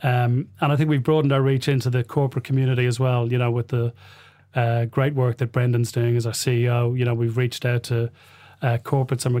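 A man with a Dublin accent, medium pitch, and a dark, mellow tone, very fast, monotone and flat, at very even loudness, on a very clean recording with a silent background. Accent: Dublin Irish. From Ireland, Dublin (Rialto, Liberties). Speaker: football club investor. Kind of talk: interview. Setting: studio. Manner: hesitant, many filler sounds.

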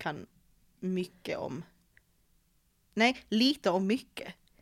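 This woman has a medium-pitched voice with vocal fry. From Malmö, Sweden. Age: 20s. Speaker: podcast host. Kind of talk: casual chat.

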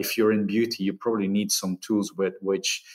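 Speaking with a Flemish accent at a moderate pace, the voice stays flat and monotone on a very clean recording with a silent background. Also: man. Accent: Flemish Dutch-accented English. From Belgium. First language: Dutch. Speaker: marketing executive. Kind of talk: interview.

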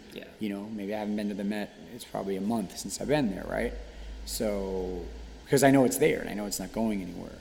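A man with an American accent speaks at a very fast pace and a fairly low pitch, with ordinary pitch variation and audible room echo. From New York City. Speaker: fine art painter and teacher. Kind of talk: casual chat. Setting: art studio gallery. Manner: halting, many fillers.

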